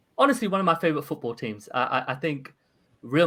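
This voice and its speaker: A man speaks with a London accent and a bright, sharp tone, using ordinary pitch variation. The recording is very clean against a silent background. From London, England. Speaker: podcast host. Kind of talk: casual interview chat.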